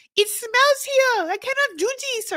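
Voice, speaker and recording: In a put-on character voice with a French accent, a female-sounding voice speaks at an extremely high pitch. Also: fairly slow pace. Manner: disgusted, complaining.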